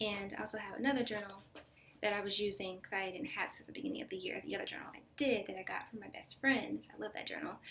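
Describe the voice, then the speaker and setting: The speaker talks at a very fast pace with ordinary pitch variation. Loudness swings in big ways. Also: woman, medium pitch for a woman. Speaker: video blogger. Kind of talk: casual monologue. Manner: hesitant with many fillers.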